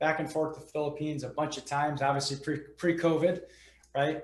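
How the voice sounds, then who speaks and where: The speech moves at a very fast pace. Room echo is audible. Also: man. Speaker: real estate investor and business owner. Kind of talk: podcast interview.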